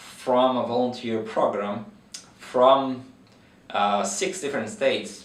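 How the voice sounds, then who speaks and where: A man with a Brazilian accent speaks at a fairly slow pace, his medium pitch carrying lively intonation. Noticeable background noise and audible room echo surround him. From Brazil, countryside. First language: Portuguese. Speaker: veterinary researcher. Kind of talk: interview. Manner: hesitant with fillers.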